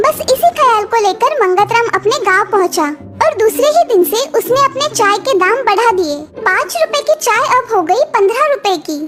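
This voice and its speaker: An extremely high-pitched cartoonish character voice comes through over loud background noise. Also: moderate pace. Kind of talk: moral cartoon storytelling.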